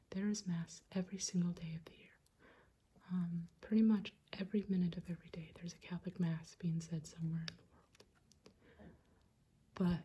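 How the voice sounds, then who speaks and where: Soft-spoken delivery at a moderate pace. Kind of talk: casual talk to camera, room tour.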